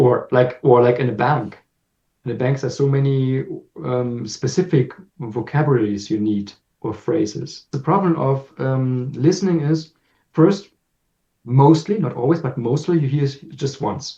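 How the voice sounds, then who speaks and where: At a moderate pace, a man with a German accent speaks in a medium-pitched, somewhat breathy voice with a dark, mellow tone and ordinary pitch variation. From Germany. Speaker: language teacher. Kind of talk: casual chat. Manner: halting.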